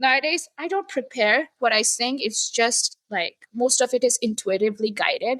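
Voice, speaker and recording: A woman talks at a moderate pace with lively intonation and a high pitch. The sound is dry and close, with no echo. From India. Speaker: sacred sound artist and coach. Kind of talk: interview conversation. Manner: hesitant, filler-heavy.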